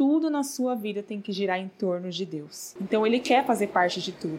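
Her pitch sits in the medium range for a woman, yet this woman's voice swings very widely up and down. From Brazil, São Paulo. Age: 30s. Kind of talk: devotional talk. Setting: not a proper recording space.

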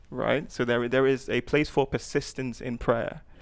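This man's medium-pitched voice carries vocal fry, moving at a moderate pace with fairly even intonation. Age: 20s. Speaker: tech worker. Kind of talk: casual chat.

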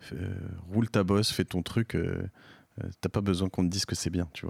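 On a very clean recording with a silent background, a man speaks with fairly even intonation in a dry, close sound with no echo. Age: 40s. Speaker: entrepreneur and podcaster. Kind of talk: interview. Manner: halting, frequent repetitions and fillers.

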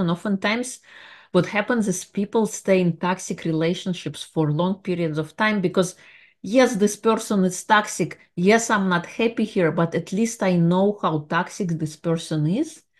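Against a quiet background, a woman with a non-native accent talks at a moderate pace. Her voice sits at a medium pitch with ordinary variation. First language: not English. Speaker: life coach and podcast host. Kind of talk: solo motivational monologue; guided visualization.

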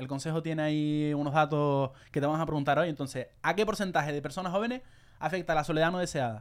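Speaking at a very fast pace, a man uses an animated tone and a fairly high pitch. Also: very clean recording, silent background. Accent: Canarian. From Canary Islands. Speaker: podcast host. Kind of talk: casual chat.

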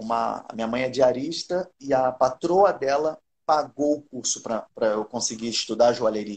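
A man speaks in a plain, everyday voice at a medium pitch. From Rio de Janeiro, Brazil. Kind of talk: casual live-stream interview.

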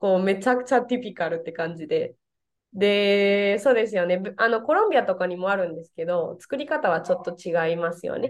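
A woman with a medium pitch speaks quite quickly in a Spanish accent, with lively intonation and big swings in loudness. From Venezuela. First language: Spanish (speaking Japanese). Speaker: Japanese teacher. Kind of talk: casual interview. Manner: halting, many fillers.

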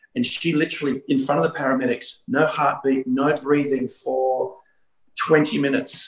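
A man with an Australian accent speaks at a fairly high pitch with vocal fry. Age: 50s. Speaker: pastor. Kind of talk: revivalist preaching and prophetic decree in an online healing meeting. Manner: animated, urgent exhortation with repeated 'Come on' interjections; fast, run-on delivery with stumbling repeats.

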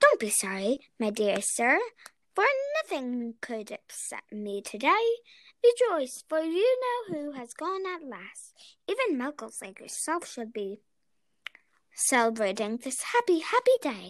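A woman's squeaky, high put-on character voice at a fairly slow pace, with long, frequent pauses. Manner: excited, joyful.

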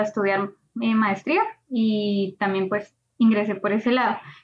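Intonation remains fairly even throughout. The speaker is a woman. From Colombia. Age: 20s. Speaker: AI graduate student and startup cofounder. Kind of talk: interview.

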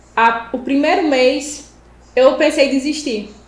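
A woman with a high pitch and ordinary pitch variation talks at a very slow pace, with audible room echo and noticeable background noise. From Pernambuco interior, Brazil. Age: 20s. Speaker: civil firefighter and first aid instructor. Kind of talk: casual interview chat.

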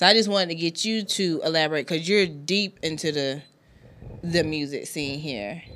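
A woman with an American accent, a plain, everyday voice, a fairly low pitch, ordinary pitch variation, and a moderate pace. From South Carolina, Anderson. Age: 30s. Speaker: podcast host. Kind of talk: casual chat. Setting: studio.

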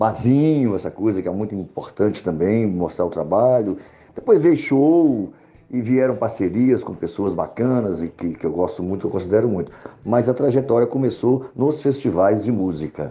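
Medium-pitched male voice with lively intonation at a moderate pace, with noticeable background noise. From Brazil, Montes Claros, northern Minas Gerais. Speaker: singer-songwriter. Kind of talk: interview.

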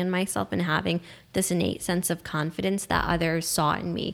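A woman speaks with fairly low pitch in a normal speaking voice. The recording is very clean with a silent background. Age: 20s. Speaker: young elected official and student. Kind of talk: casual chat.

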